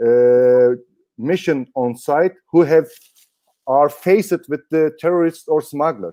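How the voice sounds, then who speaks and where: A man with a non-native accent speaks very slowly in a dark, mellow tone at a fairly high pitch, with ordinary pitch variation. The sound is dry and close, with no echo. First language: German. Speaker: dog handler and trainer. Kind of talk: interview. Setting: live online broadcast. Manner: halting.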